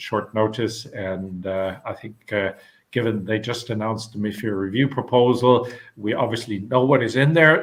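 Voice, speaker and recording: This man has a German accent. His pitch is fairly low, with ordinary variation. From Germany. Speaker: panel moderator. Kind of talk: webinar panel moderation. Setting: online webinar. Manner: halting, many fillers.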